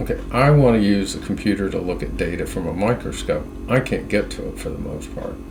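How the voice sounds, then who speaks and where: Over noticeable background noise and audible room echo, a man with a very deep, low pitch talks at a moderate pace, his pitch swinging very widely. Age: 70s. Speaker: independent internet researcher. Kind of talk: screen-share monologue. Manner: halting, many fillers and restarts.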